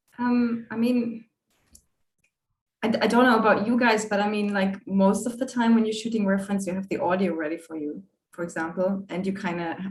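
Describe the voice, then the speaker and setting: With a non-native accent, a woman speaks at a medium pitch and a fairly quick pace. Her pitch varies in an ordinary way. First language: not English. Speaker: animator. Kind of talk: panel discussion. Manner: halting.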